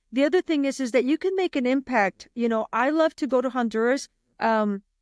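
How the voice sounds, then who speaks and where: A woman's high voice with lively intonation and an American accent, at a fairly quick pace, dry and close with no echo, on a very clean recording with a silent background. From Texas, Del Rio. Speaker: realtor. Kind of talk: podcast interview. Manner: animated.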